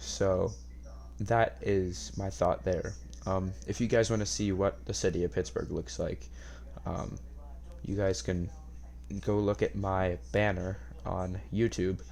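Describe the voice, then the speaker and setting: A man with an American accent speaks quietly at a very slow pace, his very deep, low voice marked by vocal fry. His pitch swings very widely, with long, frequent pauses. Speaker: podcast host. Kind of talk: casual monologue podcast. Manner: quiet, hushed; hesitant, many fillers.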